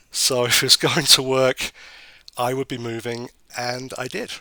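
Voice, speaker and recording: A man with a British accent speaks in a bright, sharp tone. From northern England, Sheffield. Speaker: government regulator. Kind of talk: interview.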